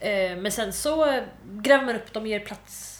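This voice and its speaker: Ordinary pitch variation comes through alongside audible room echo. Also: woman. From Malmö, southern Sweden. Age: 20s. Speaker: student. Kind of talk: casual chat.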